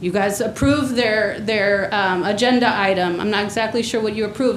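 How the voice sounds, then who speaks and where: Over noticeable background noise and audible room echo, a woman talks at a fairly quick pace in a medium pitch with fairly even intonation. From Mexico. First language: Spanish. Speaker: community organizer / public commenter. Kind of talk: public comment at government meeting. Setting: county board meeting chamber. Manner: impassioned, direct.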